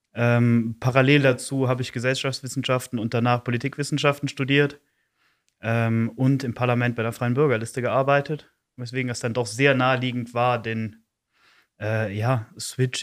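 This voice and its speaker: A man at medium pitch in a monotone, flat delivery, on a very clean recording with a silent background. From East Belgium (German-speaking Community). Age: 20s. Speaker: youth council chair. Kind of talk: podcast interview.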